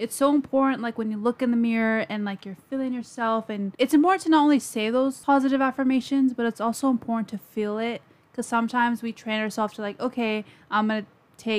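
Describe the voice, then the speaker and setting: In an unremarkable speaking voice, a woman with a fairly high pitch talks at a fairly quick pace. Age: 20s. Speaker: podcast host. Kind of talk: casual chat.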